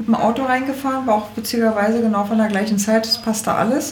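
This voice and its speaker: A woman with a Berlin accent and a fairly high pitch, heard through audible room echo and noticeable background noise. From Berlin, Germany (Charlottenburg). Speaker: shop owner. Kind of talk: interview.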